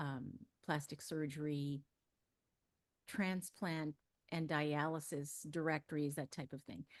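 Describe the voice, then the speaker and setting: Against a quiet background with a dry, close sound and no echo, a woman with an American accent speaks at a very deep, low pitch, her intonation fairly even and broken by long, frequent pauses. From US West, Los Angeles. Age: 60s. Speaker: ghostwriter. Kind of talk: interview.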